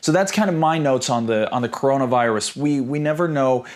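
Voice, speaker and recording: The man races along at a very fast pace, his medium pitch varying in an ordinary way. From Sweden. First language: Swedish. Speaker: property investor and educator. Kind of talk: online seminar. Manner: halting, with many repeated words.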